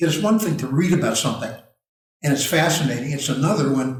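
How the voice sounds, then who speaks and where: A man with a fairly high pitch speaks very fast with lively intonation, and the room echo is audible. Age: 70s. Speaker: nutritional consultant. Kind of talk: casual chat.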